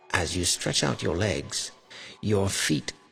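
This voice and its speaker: A man with a very deep, low pitch at a fairly slow pace, with music in the background. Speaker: voice actor. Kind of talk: second-person horror story narration.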